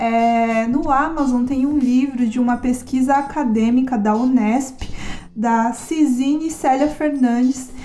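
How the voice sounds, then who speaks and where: Through audible room echo and noticeable background noise, a woman with a high pitch speaks at a very slow pace with ordinary pitch variation. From Brazil and Japan (São Paulo / 18 years in Japan). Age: 30s. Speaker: podcast host. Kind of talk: casual personal narration.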